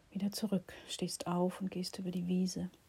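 The voice has a calm, soothing, dark and mellow tone, somewhat breathy and flat in intonation, at a very slow pace. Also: woman. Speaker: meditation guide and healing practitioner. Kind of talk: guided meditation. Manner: slow, soft, calm and soothing; gentle, pausing, dreamy, intimate pacing.

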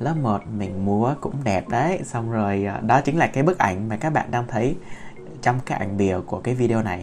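Over music in the background, a man at medium pitch talks at a moderate pace with a gentle tone and lively intonation. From Vietnam. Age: 20s. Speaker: podcaster. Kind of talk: personal storytelling monologue. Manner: halting, many fillers.

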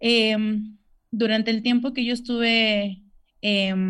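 Over a quiet background, a woman with a fairly high pitch sounds somewhat breathy at a very slow pace. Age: 20s. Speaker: COVID survivor and amputee. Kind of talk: interview testimony. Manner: hesitant with many fillers.

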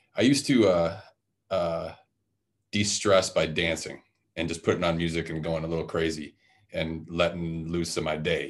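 A man's very deep, low voice with a Midwestern American accent and fairly even intonation. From Detroit, Michigan. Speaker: host's husband. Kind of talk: casual chat.

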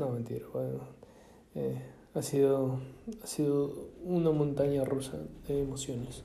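A man's voice is heard here. The room adds audible echo. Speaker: podcaster. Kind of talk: casual monologue. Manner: halting, many fillers and repetitions.

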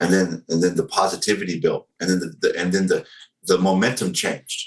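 At a fairly quick pace, a man talks in a Southern US accent. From US South, North Carolina. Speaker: social media activist, army veteran. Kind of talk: interview conversation.

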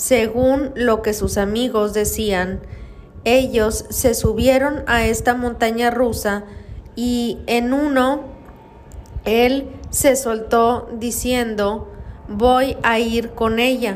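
A woman speaks at a very slow pace in a fairly high, monotone voice with flat intonation. Room echo is audible. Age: 30s. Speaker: podcast host, paranormal storyteller. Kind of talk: storytelling narration.

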